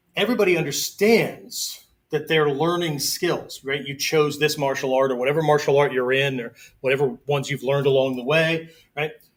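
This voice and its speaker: His voice is a plain, everyday voice, pitched fairly high for a man. This man delivers his words at a fairly quick pace with ordinary pitch variation. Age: 60s. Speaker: martial arts instructor. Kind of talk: live-streamed lecture. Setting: live video stream. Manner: conversational, frequent 'okay' fillers.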